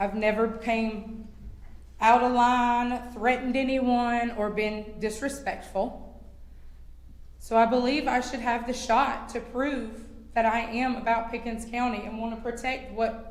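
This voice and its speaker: In a Southern US accent, a woman speaks fairly slowly at a fairly high pitch with monotone, flat intonation and audible room echo. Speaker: public commenter at county council meeting. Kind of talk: public comment. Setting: county council meeting.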